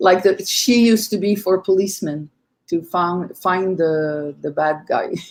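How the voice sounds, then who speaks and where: A woman has a normal speaking voice at a medium pitch. She talks at a fairly slow pace. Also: ordinary pitch variation. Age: 60s. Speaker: conference speaker, medium. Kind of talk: panel discussion.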